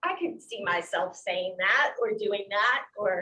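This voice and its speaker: Her voice raised and projected, a woman speaks at a fairly slow pace in a bright, sharp tone with very wide pitch swings. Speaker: pastor. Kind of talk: bible study class. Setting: classroom with zoom participants.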